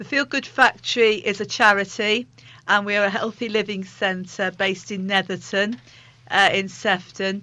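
With a bright, sharp tone, a woman speaks at medium pitch and a moderate pace, her pitch moving little.

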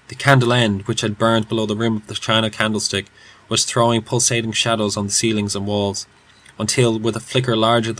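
This is a natural reading voice. The text is read aloud.

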